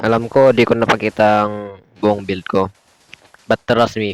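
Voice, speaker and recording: A quiet man's voice, fairly low in pitch, with monotone, flat intonation and a dry, close sound with no echo. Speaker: gaming YouTuber. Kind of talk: gameplay commentary.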